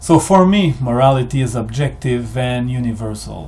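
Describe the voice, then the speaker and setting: At a fairly slow pace, a man with a French-Canadian accent speaks in a somewhat breathy voice of medium pitch with ordinary pitch variation. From Quebec, Canada. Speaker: history video maker. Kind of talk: monologue. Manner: halting.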